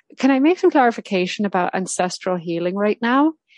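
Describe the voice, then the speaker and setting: The sound is dry and close, with no echo. A woman with an American accent speaks at a medium pitch. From Ireland. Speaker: spiritual coach and breathwork practitioner. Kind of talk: casual interview conversation. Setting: currently lives in Ohio, US.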